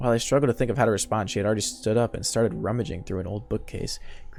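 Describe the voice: The clip is plain reading aloud. Its pitch moves with ordinary variation.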